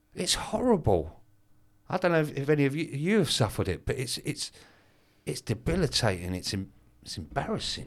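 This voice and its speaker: A man talks at a fairly quick pace in a fairly high pitch with vocal fry, very wide pitch swings and an animated tone. He leaves long, frequent pauses. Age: 50s. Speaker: business mentor and speaker. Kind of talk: casual interview chat.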